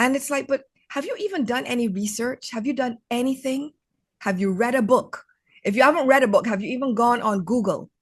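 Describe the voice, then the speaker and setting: A woman with an American accent talks at a fairly quick pace in an animated tone. Her pitch is high, with ordinary variation. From Barbados. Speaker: author. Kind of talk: interview conversation.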